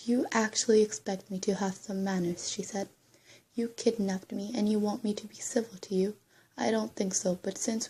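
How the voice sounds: Here is a natural reading voice with fairly even intonation.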